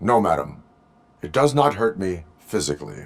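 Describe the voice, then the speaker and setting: Using a put-on character voice with a very deep, low pitch, a man talks at a moderate pace. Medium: video game. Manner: flat, formal, no contractions.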